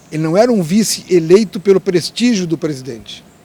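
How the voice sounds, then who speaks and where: Noticeable background noise sits behind the recording. A man talks at a moderate pace and a fairly high pitch. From Rio Grande do Sul, Brazil. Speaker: labour lawyer and politician. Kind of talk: interview answer.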